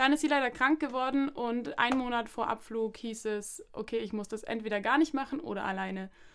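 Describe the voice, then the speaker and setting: On a very clean recording with a silent background, a woman with a high pitch speaks at a fairly quick pace with hardly any pauses and ordinary pitch variation. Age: 20s. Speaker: social pedagogue and master's student. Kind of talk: casual chat.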